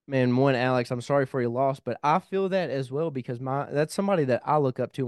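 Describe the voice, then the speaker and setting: A man with a Kentucky accent talking very fast, dry and close with no echo, quiet background. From Kentucky (small town). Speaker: podcast host, military veteran. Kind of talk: casual interview. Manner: animated.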